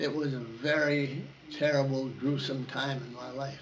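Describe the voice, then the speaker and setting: A man's fairly high voice comes through with audible room echo. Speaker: war veteran. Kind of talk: oral history interview. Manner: halting.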